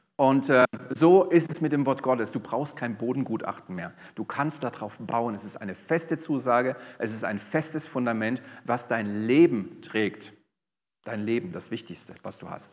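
Lively intonation marks this man's speech at a moderate pace. The background is quiet. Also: medium pitch for a man. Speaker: pastor. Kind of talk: sermon.

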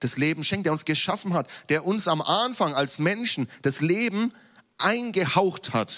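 Lively intonation marks this man's speech, delivered at a very slow pace. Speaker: preacher. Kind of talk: sermon in a church service, teaching from scripture. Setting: church. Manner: formal, earnest, teaching tone; lively, with light jokes to the congregation.

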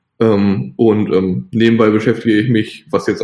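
This man has an ordinary speaking voice, fairly low in pitch, with ordinary pitch variation and a moderate pace. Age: 20s. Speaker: software developer. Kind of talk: interview.

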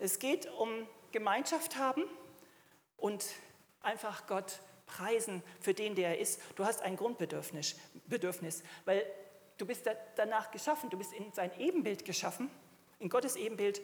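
A woman speaks fairly slowly in a fairly high voice with lively intonation. Her speech has long, frequent pauses. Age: 60s. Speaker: preacher. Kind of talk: sermon.

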